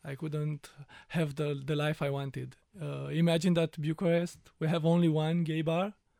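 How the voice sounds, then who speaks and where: A man with a Romanian accent, fairly high pitch, dark, mellow tone and monotone, flat intonation at a moderate pace, on a very clean recording with a silent background. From rural Romania. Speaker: immigrant. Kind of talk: panel discussion. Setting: studio.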